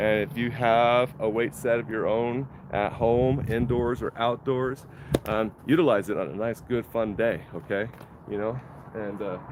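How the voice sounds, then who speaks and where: A man talks at a moderate pace and medium pitch, with noticeable background noise present. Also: ordinary pitch variation, dry sound with no echo. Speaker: wellness instructor. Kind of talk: tutorial. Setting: outdoors. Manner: casual, halting with fillers; loud. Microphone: no microphone, camera mic.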